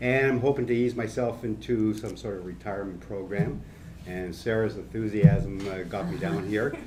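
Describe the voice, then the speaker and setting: In a room with audible echo and noticeable background noise, a man talks at a moderate pace in a fairly low voice. His loudness swings a lot, while his pitch varies in an ordinary way. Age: 60s. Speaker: brewery co-founder. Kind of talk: panel discussion.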